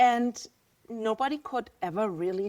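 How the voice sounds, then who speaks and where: The speaker is a woman with a German accent. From Germany. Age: 50s. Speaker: visual artist. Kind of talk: podcast interview.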